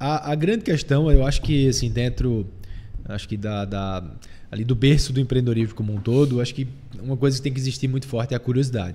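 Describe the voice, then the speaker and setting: A man's very fast speech, medium in pitch and dark and mellow in tone, with ordinary pitch variation. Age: 30s. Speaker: entrepreneur, barbershop founder. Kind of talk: interview. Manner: halting with many fillers.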